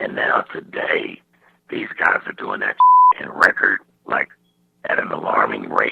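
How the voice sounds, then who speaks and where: Using lively intonation, a man with an extremely high pitch speaks at a fairly slow pace, leaving long, frequent pauses. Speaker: rapper. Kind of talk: interview answer.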